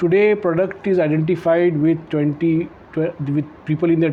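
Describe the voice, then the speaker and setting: This man's moderate-paced speech comes through noticeable background noise. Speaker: podcast host, author. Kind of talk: interview questions.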